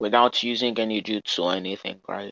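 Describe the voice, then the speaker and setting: A man's bright, sharp voice with fairly even intonation, dry and close with no echo, against a quiet background. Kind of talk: heated debate. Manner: halting. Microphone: sounded low and bad.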